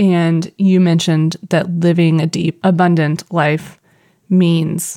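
A woman with a Missouri accent speaks in a fairly low voice, her intonation flat and monotone. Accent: Midwestern US, Missouri. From Missouri, US. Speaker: podcast co-host.

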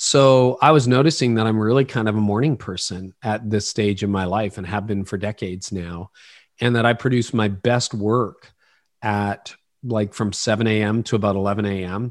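In a quiet setting, a man uses a normal speaking voice at a moderate pace, his fairly low pitch carrying fairly even intonation. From Canada, Ontario. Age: 50s. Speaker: pastor and leadership podcaster. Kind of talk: interview conversation.

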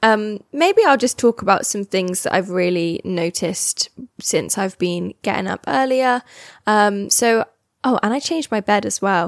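With a British accent, a woman of medium pitch speaks fairly slowly and with lively intonation in a very clean recording with a silent background and a dry, close sound with no echo. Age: 20s. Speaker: podcast host. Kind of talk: casual solo chat. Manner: chatty, meandering.

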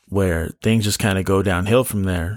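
In a very deep, low pitch, a man talks with fairly even intonation and a relaxed tone. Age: 20s. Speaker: podcast host. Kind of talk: casual solo monologue. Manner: relaxed, frequent laughs and fillers.

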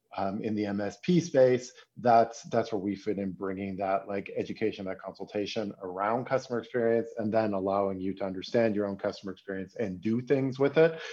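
This man has an ordinary speaking voice and a Canadian accent. He keeps a moderate pace with ordinary pitch variation. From Canada, Toronto. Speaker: software company executive. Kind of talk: interview. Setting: remote call.

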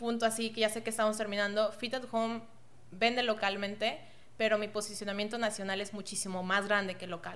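A woman's fairly high, monotone, flat voice with long, frequent pauses. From Mexico, Monterrey. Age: 20s. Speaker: entrepreneur, online store founder. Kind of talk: podcast interview.

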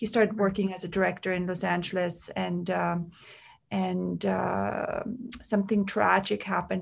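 Someone with a German accent talks at a moderate pace. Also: woman. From Austria, Tyrol ski region near Kitzbühel. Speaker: makeup artist and beauty founder. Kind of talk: casual interview.

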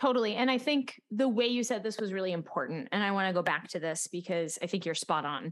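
A woman speaks at a medium pitch with lively intonation in an unremarkable speaking voice. The recording is very clean, with a silent background. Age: 30s. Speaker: podcast host and choir teacher. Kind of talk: casual interview chat.

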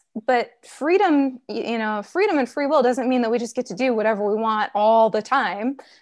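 Quiet background behind a woman at a moderate pace. Her pitch is high and her intonation lively. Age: 30s. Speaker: author. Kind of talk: interview.

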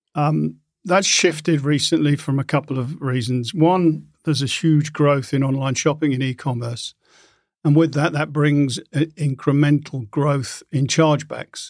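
Captured on a very clean recording with a silent background, a man with a British accent speaks at fairly high pitch with fairly even intonation. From UK. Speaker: payments executive. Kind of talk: interview. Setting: studio.

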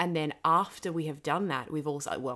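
The recording is very clean, with a silent background. A woman talks at a very deep, low pitch. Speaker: podcast host and creative director. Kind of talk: casual chat. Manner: fast when excited; animated.

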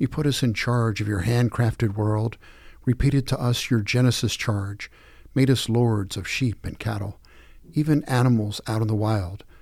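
This man speaks at a moderate pace in a plain, everyday voice of medium pitch, his intonation fairly even, and the recording is very clean with a silent background. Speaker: daily prayer leader reading devotional. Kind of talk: scripture reading and liturgical prayer. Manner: measured, formal, solemn.

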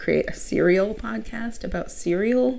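Noticeable background noise and audible room echo surround a woman with an American accent speaking at a moderate pace. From Minnesota, US Midwest. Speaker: podcast host. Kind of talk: casual chat.

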